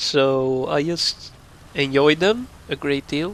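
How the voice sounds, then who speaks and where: Speaking at a fairly high pitch, a man talks with a Swedish accent. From northern Sweden. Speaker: YouTube gamer. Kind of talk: casual talk to camera. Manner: slow; pauses for breath.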